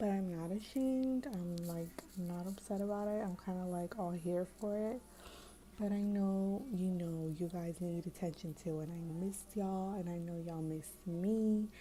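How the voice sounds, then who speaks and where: This woman's voice is somewhat breathy, with a dark, mellow tone and a medium pitch. She keeps a moderate pace and fairly even intonation. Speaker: lifestyle vlogger. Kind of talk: casual vlog chat. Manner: whispering; hesitant with fillers.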